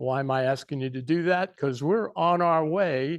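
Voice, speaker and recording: Against a quiet background, a man with a fairly high pitch speaks at a very slow pace with lively intonation. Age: 70s. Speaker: history speaker. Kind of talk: public talk. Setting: room with live audience. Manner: casual, joking.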